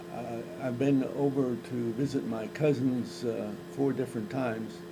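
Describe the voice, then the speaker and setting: A man's medium-pitched voice with an American accent and lively intonation, fairly slow, amid noticeable background noise and audible room echo. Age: 80s+. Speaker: retired farmer interviewee. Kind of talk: interview. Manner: halting.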